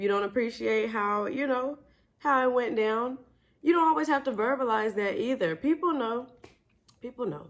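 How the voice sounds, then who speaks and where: A loud woman's voice, high in pitch, with an animated tone and lively intonation. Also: moderate pace. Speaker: vlogger. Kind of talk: storytime vlog.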